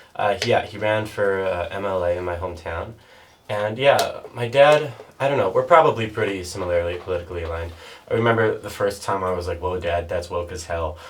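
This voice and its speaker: In a Canadian Prairie accent, a somewhat breathy man speaks at a fairly quick pace, with audible room echo. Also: fairly low pitch for a man, ordinary pitch variation. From Canada, Saskatchewan (North Battleford). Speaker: podcast guest. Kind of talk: casual chat. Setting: podcast recorded in a bathtub.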